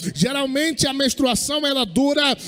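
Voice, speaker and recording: Against noticeable background noise, a man with an extremely high-pitched voice talks at a fairly slow pace with ordinary pitch variation. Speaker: pastor. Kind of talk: sermon.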